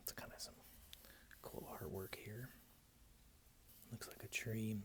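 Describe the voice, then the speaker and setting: A man whispering at a fairly slow pace. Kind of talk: casual ASMR talk to camera, whispered page-flipping. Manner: soft-spoken, whispering.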